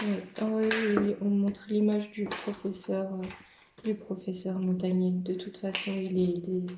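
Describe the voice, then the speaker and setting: A woman speaks at a medium pitch in a flat monotone. Her speech has long, frequent pauses. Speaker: medium doing card readings. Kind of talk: tarot-style card reading monologue. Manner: hesitant, with frequent fillers.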